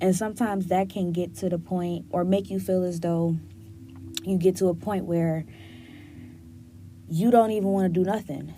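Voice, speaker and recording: At a moderate pace, a woman with a fairly low pitch and a dark, mellow tone speaks with fairly even intonation and long, frequent pauses. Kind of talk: casual solo podcast talk. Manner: gets loud when passionate.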